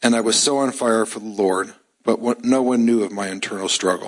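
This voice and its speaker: At a moderate pace and medium pitch, a man uses a normal speaking voice with ordinary pitch variation. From US Midwest, Chicago suburbs. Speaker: church member. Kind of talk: testimony. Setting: church.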